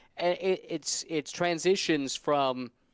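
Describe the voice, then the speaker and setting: Recorded very cleanly against a silent background, a man with an American accent speaks with fairly even intonation. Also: dry, close sound with no echo. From Indianapolis, US Midwest. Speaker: motorsport commentator. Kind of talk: interview.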